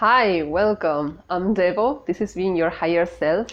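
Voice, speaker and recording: Her medium-pitched voice shows ordinary pitch variation as the woman speaks at a fairly slow pace. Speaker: spiritual YouTuber. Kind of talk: casual video talk. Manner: halting, many fillers and restarts.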